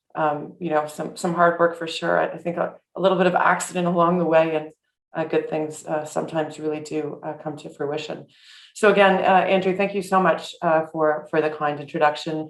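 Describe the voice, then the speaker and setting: In a Canadian accent, a woman with a very deep, low pitch talks at a fairly quick pace in a monotone, flat intonation. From Canada, Etobicoke (Toronto). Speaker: award recipient. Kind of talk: acceptance speech. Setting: video call. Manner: halting, many fillers.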